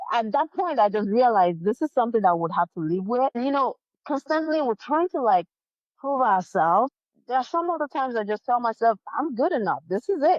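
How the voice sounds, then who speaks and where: A woman speaks at a moderate pace with a non-native accent. Her pitch swings very widely. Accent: foreign accent, others struggle to understand. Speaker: life insurance consultant. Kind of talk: interview.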